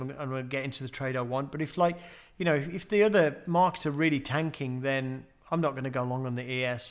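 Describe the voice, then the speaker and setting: A man talks at a very fast pace. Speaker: trading educator. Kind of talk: webinar Q&A. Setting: online webinar. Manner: halting, many fillers.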